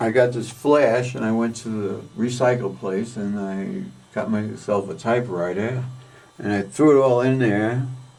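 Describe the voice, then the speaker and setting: A man with a New York accent at a fairly slow pace, ordinary pitch variation, audible room echo and noticeable background noise. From New York (Westchester/Bronx border). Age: 70s. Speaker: artist. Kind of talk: interview, life story. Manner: casual, rambling.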